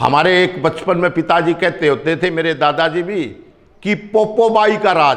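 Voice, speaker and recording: This man has a high-pitched voice. His pitch varies an ordinary amount. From Punjab. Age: 60s. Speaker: local politician. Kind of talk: interview.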